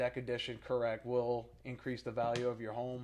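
This man speaks with a New Orleans accent. His pitch sits at a medium level. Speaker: real estate podcast co-host. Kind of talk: casual chat. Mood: relaxed, conversational. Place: meeting room. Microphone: studio mic.

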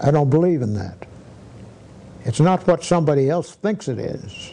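Swinging very widely in pitch, a man with a fairly high voice speaks at a moderate pace. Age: 80s+. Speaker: federal judge. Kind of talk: interview answer. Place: office.

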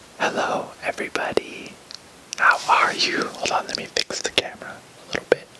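Whispering at a moderate pace, a man shows big swings in loudness. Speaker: ASMR artist. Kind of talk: ASMR haul, whispered talk to camera. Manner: whispered. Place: home room. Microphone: camera far.

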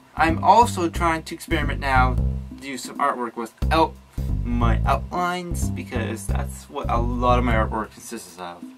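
A man talks at a moderate pace with clear music playing behind him. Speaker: artist vlogger. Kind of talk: casual vlog chat.

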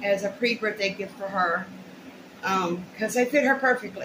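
Noticeable background noise sits behind a woman talking at a moderate pace. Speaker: haul vlogger. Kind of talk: casual vlog chat. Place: home room. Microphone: webcam.

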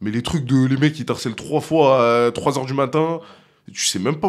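A man speaks at a moderate pace, with a quiet background behind him. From France, Lyon; France. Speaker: rap music video director; guest. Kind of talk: casual chat. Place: studio. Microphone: studio mic.

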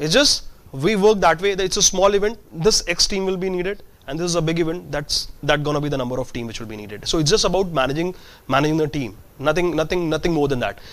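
A man talks at a very fast pace. His high pitch moves with lively intonation. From India. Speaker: entrepreneur, event management company founder; guest. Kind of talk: guest lecture to students. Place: hall. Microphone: lapel.

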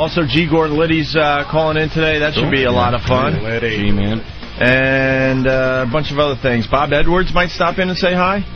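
A man with ordinary pitch variation over clear music in the background. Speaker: radio show host. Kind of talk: radio talk show banter. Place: studio.

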